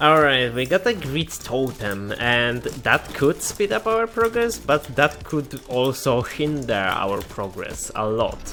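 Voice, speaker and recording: Over noticeable background noise, a man with a non-native accent speaks at a very slow pace with very wide pitch swings. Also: medium pitch for a man. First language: not English. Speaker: gaming youtuber. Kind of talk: gameplay commentary. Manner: halting, with self-corrections.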